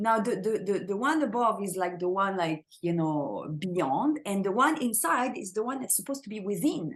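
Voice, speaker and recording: A woman with a French accent speaks at a moderate pace in a fairly high, somewhat breathy voice, her pitch swinging very widely. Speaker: spiritual teacher. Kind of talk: interview conversation. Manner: halting, many repeated words.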